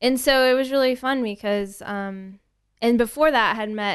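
Against a quiet background, a woman with an American accent speaks fairly slowly in a normal speaking voice with ordinary pitch variation. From Texas, Tomball near Houston. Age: 30s. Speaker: spirits retail buyer. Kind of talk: casual interview chat.

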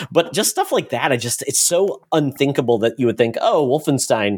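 Using a plain, everyday voice, a man talks at a fairly high pitch with lively intonation. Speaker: podcast host. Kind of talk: casual chat.

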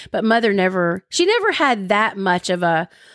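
On a very clean recording with a silent background, a woman with an American accent speaks at a medium pitch and a moderate pace. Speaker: radio broadcaster and podcast co-host. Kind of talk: casual chat between spouses.

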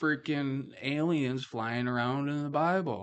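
A man talks at a very slow pace, using ordinary pitch variation. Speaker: podcast host. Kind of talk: casual chat. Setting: office studio. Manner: casual, joking.

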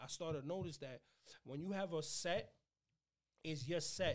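A man with a New York accent. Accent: New York (Bronx). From New York City, the Bronx (Fordham). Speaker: comedian and content creator. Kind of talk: casual chat.

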